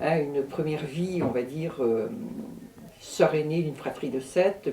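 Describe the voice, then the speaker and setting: Speaking at a moderate pace, a woman uses a very deep, low pitch over noticeable background noise. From Brittany, France. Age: 60s. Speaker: astrologer and druidess. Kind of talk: interview.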